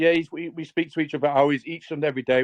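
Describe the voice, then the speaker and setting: Speaking at a very fast pace in a Scouse accent, a man sounds dry and close with no echo. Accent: Scouse-sounding. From northern England, Southport. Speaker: community member supporting a project. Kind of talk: casual chat.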